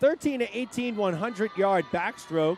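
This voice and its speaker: A man speaks at a fairly slow pace with ordinary pitch variation over noticeable background noise. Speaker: swim meet announcer. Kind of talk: live commentary. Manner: animated.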